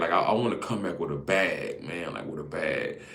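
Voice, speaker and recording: With audible room echo, a man talks through noticeable background noise. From Alabama, Greene County. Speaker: content creator. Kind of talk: casual live stream monologue. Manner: casual, halting with repetitions.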